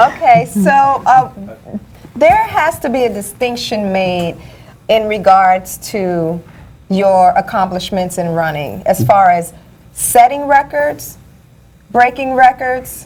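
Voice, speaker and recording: Over noticeable background noise, the speaker goes at a very slow pace with long, frequent pauses and very wide pitch swings. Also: woman, medium pitch for a woman. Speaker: running coach. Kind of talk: interview host.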